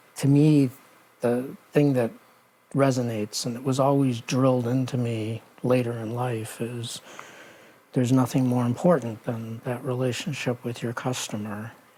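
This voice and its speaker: A man with an American accent speaks with fairly even intonation over noticeable background noise. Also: medium pitch for a man, moderate pace. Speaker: retail executive. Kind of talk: oral history interview.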